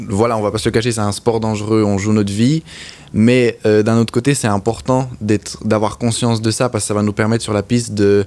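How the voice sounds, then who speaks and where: The delivery is monotone and flat, at a fairly quick pace. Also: man, fairly low pitch for a man. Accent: slight Swiss French. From French-speaking Switzerland, Lutry. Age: young. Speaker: motorcycle racer. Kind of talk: interview. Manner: halting.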